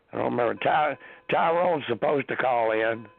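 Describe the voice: A man talks with vocal fry and fairly even intonation.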